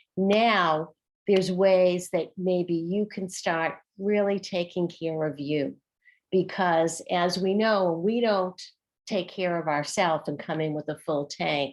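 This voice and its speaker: A woman with a Boston accent speaks at a very slow pace, her pitch fairly low. Her intonation stays fairly even over a quiet background. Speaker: former teacher, workshop facilitator. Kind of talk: online workshop discussion.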